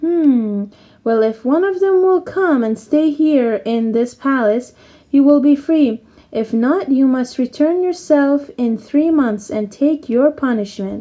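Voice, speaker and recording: A put-on character voice at a fairly slow pace. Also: woman, high pitch for a woman. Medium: read story. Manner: gruff, loud.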